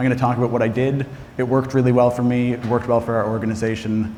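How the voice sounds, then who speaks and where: A man with a Nova Scotian accent, very fast and monotone, with a dark, mellow tone and audible room echo. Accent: Atlantic Canadian (Nova Scotian). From Canada, Nova Scotia (east coast). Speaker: health data executive. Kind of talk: conference talk.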